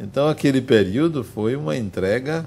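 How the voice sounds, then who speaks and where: A man talks at a fairly slow pace with lively intonation. Audible room echo surrounds his voice. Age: 60s. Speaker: spiritist lecturer. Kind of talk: lecture. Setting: spiritist center with audience.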